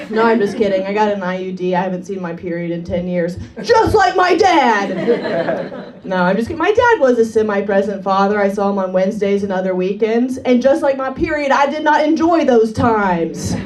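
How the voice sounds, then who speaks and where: Speaking at a moderate pace with hardly any pauses, a woman uses lively intonation at a medium pitch, with audible room echo and noticeable background noise. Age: 30s. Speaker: comedian. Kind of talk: stand-up. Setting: stage with audience.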